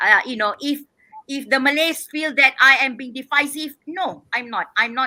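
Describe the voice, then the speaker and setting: A woman's raised, projected voice, high in pitch, at a moderate pace. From Malaysia. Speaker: activist and independent political candidate. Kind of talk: interview. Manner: loud; forceful.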